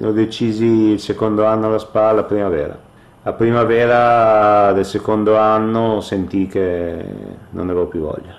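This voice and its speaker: Fairly low in pitch, a man with an unremarkable speaking voice talks at a fairly slow pace with fairly even intonation. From northern Italy, Ferrara (Emilia-Romagna). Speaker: retired professional football goalkeeper. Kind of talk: radio interview.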